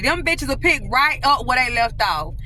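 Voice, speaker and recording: A raised, projected voice with ordinary pitch variation carries over music in the background. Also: woman. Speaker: homeless-turned-testimony storyteller. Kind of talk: casual talk to camera, emotional personal story. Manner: emotional, candid, emphatic, explicit language.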